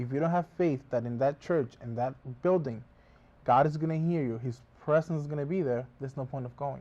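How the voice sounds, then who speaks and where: A man's fairly high, dark, mellow voice at a fairly quick pace, with ordinary pitch variation. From Dominican Republic. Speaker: botanica worker. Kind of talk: TV interview.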